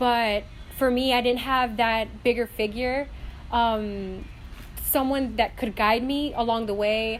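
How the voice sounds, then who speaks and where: Her Spanish accent comes through at a fairly slow pace. The woman's fairly high pitch stays monotone, with flat intonation. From North Carolina. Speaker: student. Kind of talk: personal testimony.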